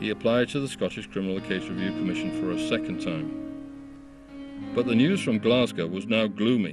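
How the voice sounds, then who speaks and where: With music in the background, a man speaks at a fairly low pitch and a fairly quick pace, using very wide pitch swings. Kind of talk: documentary narration.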